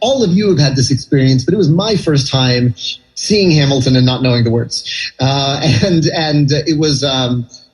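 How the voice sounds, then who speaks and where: Over music in the background, a man with an American accent talks at a moderate pace in a fairly high voice with ordinary pitch variation. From New York City (Manhattan). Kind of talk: radio interview answer. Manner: conversational, chatty with filler words.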